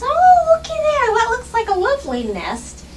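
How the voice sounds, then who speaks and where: In a put-on character voice, a woman squeaks at an extremely high pitch and moderate pace against clear background noise. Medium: read story. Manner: chirpy, folksy.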